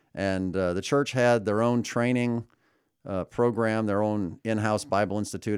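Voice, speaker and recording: In a very clean recording with a silent background, a man with an American accent and an ordinary speaking voice talks at a moderate pace and fairly low pitch with ordinary pitch variation. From US Midwest, suburbs of Chicago. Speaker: pastor. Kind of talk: casual interview.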